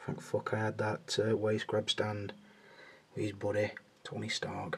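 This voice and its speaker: A man speaks quietly at a fairly slow pace. Noticeable background noise is present. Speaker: action figure collector, video creator. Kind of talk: casual hobby vlog, hands-on commentary. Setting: at home, bedroom at night. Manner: talking quietly.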